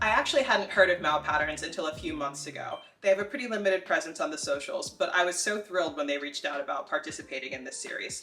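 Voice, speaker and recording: With music in the background, a woman with a Philadelphia accent and medium pitch talks at a very fast pace with hardly any pauses, her pitch swinging very widely. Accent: American, Philadelphia area. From US Northeast, Philadelphia area. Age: 30s. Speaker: sewing YouTuber. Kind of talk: tutorial. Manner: casual and chatty.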